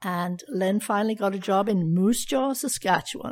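A woman speaks at a medium pitch with vocal fry. She keeps a moderate pace. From southern England (Kent). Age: 80s+. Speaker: retired teacher. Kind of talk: interview. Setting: remote call.

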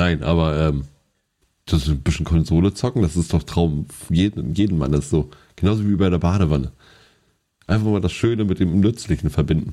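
The voice has a dark, mellow tone and very even loudness. The pace is fairly quick, broken by long, frequent pauses. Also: man, very deep, low pitch for a man, ordinary pitch variation. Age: 30s. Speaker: podcast co-host. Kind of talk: casual chat.

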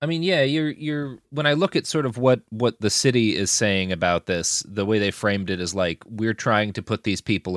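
With a plain, everyday voice, a man talks at a moderate pace with lively intonation, recorded very cleanly against a silent background in dry, close sound with no echo. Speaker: podcast co-host. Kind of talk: casual chat.

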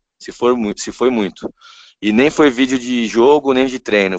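In a dry, close sound with no echo and a quiet background, a man with a plain, everyday voice speaks at medium pitch and a moderate pace with ordinary pitch variation. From São Paulo, Brazil. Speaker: basketball coach. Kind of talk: interview. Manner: casual.

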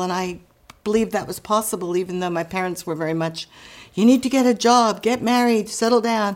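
Fairly quick and with fairly even intonation, the speech comes in a plain, everyday voice. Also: woman. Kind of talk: casual interview chat.

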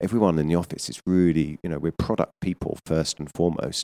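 A man speaks in a very deep, low voice with a British accent and a dark, mellow tone. The recording is very clean with a silent background, the sound dry and close with no echo. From southern England, Surrey. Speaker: menswear retail executive. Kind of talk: interview. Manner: hesitant, many fillers.

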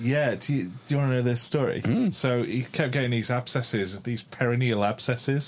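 This man talks at a moderate pace with hardly any pauses, his pitch medium and its variation ordinary. Noticeable background noise runs behind him. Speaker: co-host. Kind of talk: casual chat.

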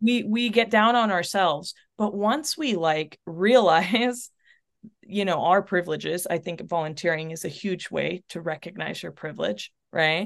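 With an American accent and a plain, everyday voice, a woman speaks at medium pitch and a moderate pace, using ordinary pitch variation against a quiet background. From North Texas, Chilean family. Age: 30s. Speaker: abortion fund volunteer and coach. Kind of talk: interview conversation.

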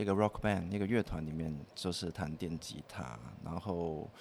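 A man speaks with a Cantonese accent at a fairly quick pace. His pitch variation is ordinary. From Hong Kong. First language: Cantonese (speaking Chinese). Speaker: composer. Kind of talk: casual interview chat.

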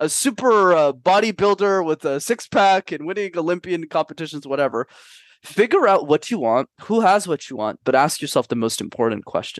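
A man's high-pitched, animated voice at a fairly quick pace with lively intonation, dry and close with no echo, over a quiet background. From Canada. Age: 20s. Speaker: public speaking coach. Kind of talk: podcast interview.

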